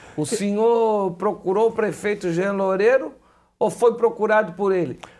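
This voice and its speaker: A man is speaking. His pitch is high. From Brazil, Florianópolis (Santa Catarina). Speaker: TV host. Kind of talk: TV interview. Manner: casual, joking.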